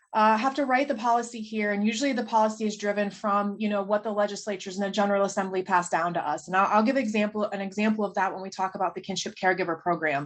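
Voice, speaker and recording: Speech comes at a very fast pace with hardly any pauses. Noticeable background noise is present. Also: woman, medium pitch for a woman, ordinary pitch variation. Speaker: state agency policy presenter. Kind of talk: presentation. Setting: video call.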